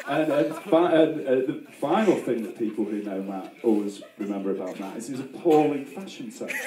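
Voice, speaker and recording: Over noticeable background noise, a man talks at a moderate pace with hardly any pauses. His fairly high voice makes very wide pitch swings. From UK. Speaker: best man. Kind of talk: wedding speech. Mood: joking, playful. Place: tent.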